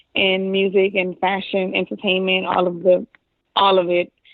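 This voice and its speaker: In a New Orleans accent, a woman speaks at medium pitch and a moderate pace. Her intonation is monotone and flat. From New Orleans, Louisiana. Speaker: video producer. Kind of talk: casual interview.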